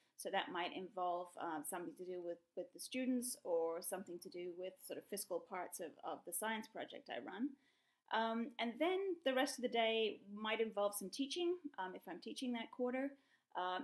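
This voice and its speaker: The speech has lively intonation and a moderate pace. The background is quiet. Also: woman. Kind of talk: interview answer. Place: home room. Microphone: webcam.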